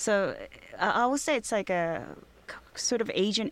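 With a Korean accent, a woman talks at a moderate pace in a fairly high voice with ordinary pitch variation. The recording is very clean, with a silent background. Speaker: restaurateur. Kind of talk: interview. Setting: studio. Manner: halting.

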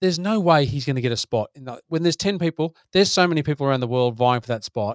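A man talks at a very fast pace and a fairly high pitch with lively intonation. His loudness swings widely, and the sound is dry and close with no echo. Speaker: podcast co-host. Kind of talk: casual chat.

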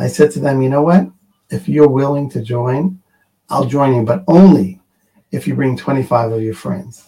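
Here a man speaks at a medium pitch with lively intonation. His tone is dark and mellow, and somewhat breathy. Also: moderate pace. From Israel, Jerusalem. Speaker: emergency medical organization founder. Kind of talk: interview.

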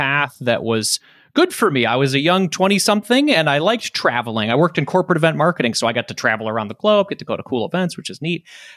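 A man with an American accent is heard on a very clean recording with a silent background and a dry, close sound with no echo. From Detroit, Michigan. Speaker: personal finance podcaster. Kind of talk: casual interview.

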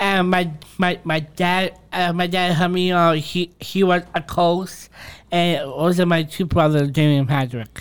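On a very clean recording with a silent background, a man with an American accent speaks at a high pitch, at a fairly slow pace, with fairly even intonation and very even loudness. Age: 20s. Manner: halting.

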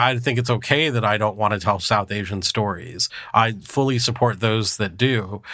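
A man with an American accent talks at a moderate pace in a bright, sharp tone. His intonation stays fairly even. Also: fairly low pitch for a man. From California. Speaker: film producer. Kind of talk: roundtable discussion.

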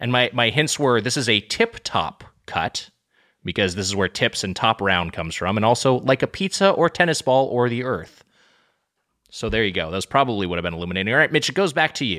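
A man talks at a fairly quick pace with medium pitch, very wide pitch swings, and a bright, sharp tone. The sound is dry and close with no echo, on a very clean recording with a silent background. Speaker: podcast host. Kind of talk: casual chat.

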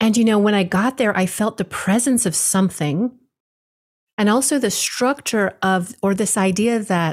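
A woman talks at a moderate pace, somewhat breathy, with ordinary pitch variation. The recording is very clean, with a silent background. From Hawaii. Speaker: spiritual teacher. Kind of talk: interview conversation.

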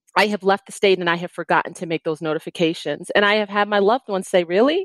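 Speaking at a very fast pace with hardly any pauses, a woman has a medium pitch, recorded with a dry, close sound with no echo against a quiet background. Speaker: security consultant, former Secret Service agent. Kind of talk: interview, safety advice.

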